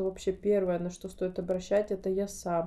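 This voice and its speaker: Flat and monotone, a woman's dark, mellow voice sits at a medium pitch and moves at a moderate pace. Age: 30s. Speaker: podcast host. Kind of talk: casual solo monologue.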